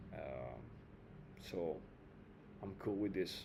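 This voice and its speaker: A man speaks in a dark, mellow tone, with audible room echo around his voice. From Italy. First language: Italian. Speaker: trading video creator. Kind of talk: casual trading tutorial. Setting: home, air conditioning on. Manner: hesitant, many fillers.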